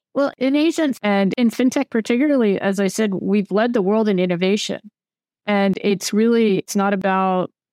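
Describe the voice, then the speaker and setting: A woman has a normal speaking voice at a medium pitch and a moderate pace, with an American accent. The sound is dry and close with no echo, against a quiet background. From United States. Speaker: venture capital investor. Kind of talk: interview.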